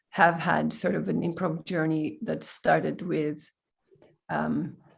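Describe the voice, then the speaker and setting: A woman with a Swedish accent speaks in a fairly low voice, on a very clean recording with a silent background. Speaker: improviser. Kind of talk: casual chat.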